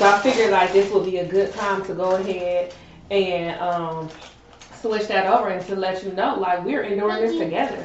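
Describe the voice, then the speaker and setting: Noticeable background noise and audible room echo surround a woman speaking at a moderate pace. Her intonation stays fairly even. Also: medium pitch for a woman. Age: 30s. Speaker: podcast co-host. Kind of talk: casual chat.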